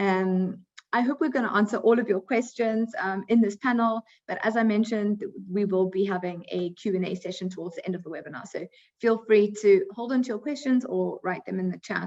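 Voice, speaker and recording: Speaking at a fairly quick pace, a woman with a South African accent uses a medium pitch and ordinary pitch variation. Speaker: recruiting coordinator, webinar moderator. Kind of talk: webinar moderation.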